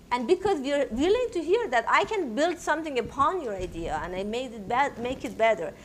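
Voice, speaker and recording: With a Persian accent, a woman speaks at a moderate pace in a bright, sharp tone, her pitch swinging very widely. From Iran. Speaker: technology entrepreneur. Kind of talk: panel interview. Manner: loud.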